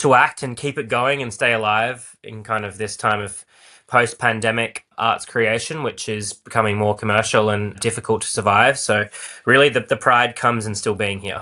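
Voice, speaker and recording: Someone with an Australian accent speaks at a moderate pace in a bright, sharp tone against a quiet background. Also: man, medium pitch for a man. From Australia, Perth. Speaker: actor and playwright. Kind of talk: podcast interview. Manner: animated.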